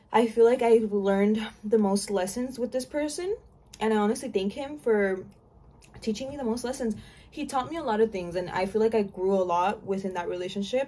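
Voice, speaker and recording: Delivered at a fairly quick pace, the voice has a dark, mellow tone and ordinary pitch variation. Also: woman. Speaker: YouTuber and exotic dancer; vlogger. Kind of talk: casual storytime chat. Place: home room.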